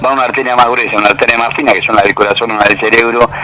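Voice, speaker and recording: A man's voice with music in the background. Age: 70s. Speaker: economist, university professor. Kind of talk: radio interview.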